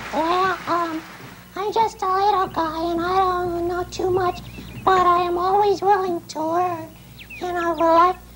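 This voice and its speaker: A cartoonish character voice at a moderate pace, over clear background noise. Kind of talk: children's puppet show. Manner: shy, humble, earnest.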